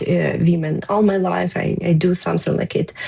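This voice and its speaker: The woman's pace is fairly slow. She talks with a non-native accent. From Ukraine. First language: Ukrainian. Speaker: war veteran. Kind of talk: testimony. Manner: halting.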